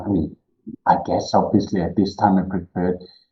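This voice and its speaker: A man speaks with a German accent. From Austria. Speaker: cave diving explorer and instructor. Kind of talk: podcast interview.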